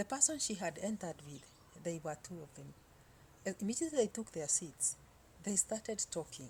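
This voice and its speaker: A woman speaks at a medium pitch with a dark, mellow tone and a somewhat breathy quality. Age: 60s. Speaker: vlogger. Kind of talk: casual storytelling monologue. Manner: halting, many fillers.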